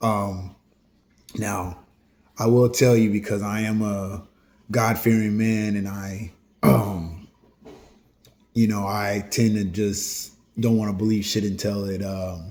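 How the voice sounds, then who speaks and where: Speaking at a very slow pace with long, frequent pauses, a man keeps a monotone, flat intonation in a fairly low pitch. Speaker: YouTuber hosting solo talk videos. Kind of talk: casual open discussion to camera. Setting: at home. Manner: hesitant, many fillers.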